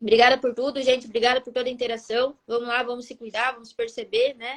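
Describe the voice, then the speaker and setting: Speaking very fast at a high pitch, a woman keeps a monotone, flat intonation while her loudness swings widely. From Rio Grande do Sul, southern Brazil. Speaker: life coach. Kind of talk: live stream talk.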